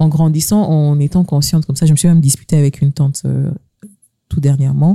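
Somewhat breathy and dark, mellow in tone, a woman with a very deep, low pitch speaks at a fairly quick pace with fairly even intonation and very even loudness in a dry, close sound with no echo. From DR Congo, Kasai. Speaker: podcast host. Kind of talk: casual chat.

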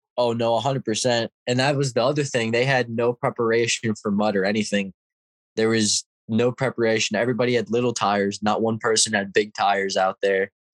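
A man's ordinary speaking voice at a medium pitch and fairly quick pace, with very even loudness and a dry, close sound with no echo. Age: young. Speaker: ATV racer. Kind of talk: casual interview chat.

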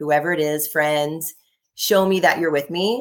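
At a fairly slow pace, a woman with an American accent speaks in a very deep, low pitch. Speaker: intuitive energy healer and author. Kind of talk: casual interview chat.

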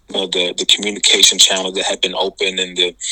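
A man is heard with a dry, close sound with no echo. Noticeable background noise runs behind him. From Atlanta, Georgia. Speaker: public health official. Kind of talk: interview.

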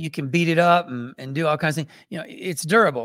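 This is an unremarkable speaking voice from a man, pitched fairly high, with ordinary pitch variation. The recording is very clean, with a silent background. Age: 50s. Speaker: martial arts and movement teacher. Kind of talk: interview.

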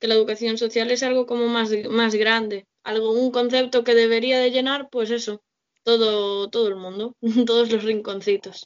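A woman's fairly high voice, monotone and flat, at a moderate pace. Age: 20s. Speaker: social integration worker. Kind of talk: casual chat.

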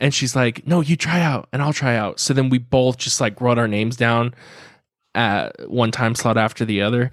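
A medium-pitched male voice with a Californian accent, on a very clean recording with a silent background. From Southern California (Carlsbad). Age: 20s. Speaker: podcast co-host. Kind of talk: casual chat.

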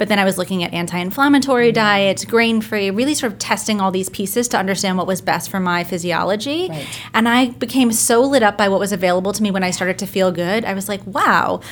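Talking at a very fast pace with hardly any pauses, a woman with a New Jersey accent uses a medium pitch and ordinary pitch variation. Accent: New Jersey American. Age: young. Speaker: business and mindset coach. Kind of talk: interview.

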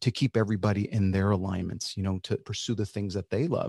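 Against a quiet background, a man with an American accent and a dark, mellow tone is heard in a dry, close sound with no echo. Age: 50s. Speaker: singer. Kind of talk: podcast interview. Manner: casual, conversational.

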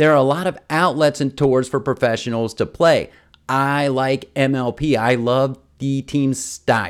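An animated, fairly high male voice with an American accent and a fairly slow pace, on a very clean recording with a silent background. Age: 50s. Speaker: podcast host. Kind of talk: casual monologue.

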